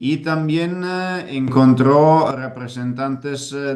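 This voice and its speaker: A man with an Italian accent at a very slow pace. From Italy. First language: Italian (speaking Spanish). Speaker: political activist. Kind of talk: interview. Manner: halting, many fillers.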